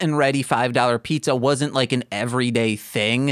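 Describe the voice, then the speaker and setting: A normal speaking voice from a man in an American accent, medium in pitch with ordinary pitch variation, in a dry, close sound with no echo. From Michigan. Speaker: podcast co-host. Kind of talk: casual chat.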